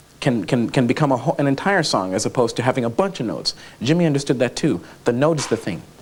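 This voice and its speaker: With an American accent, a man speaks at a very fast pace. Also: medium pitch for a man, lively intonation. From United States. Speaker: actor, comedian and sound-effects performer. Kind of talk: talk show interview answer.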